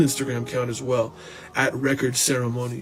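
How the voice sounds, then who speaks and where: A man with an American accent talks at a fairly quick pace in a medium pitch, his intonation monotone and flat, with music playing in the background. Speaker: musician and podcast host. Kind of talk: live-stream casual chat. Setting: Instagram live video. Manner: fast.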